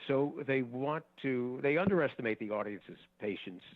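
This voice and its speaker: Using an unremarkable speaking voice, a man talks at a fairly slow pace with lively intonation. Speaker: game show announcer and host, voice actor. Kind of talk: casual interview answers, conversational.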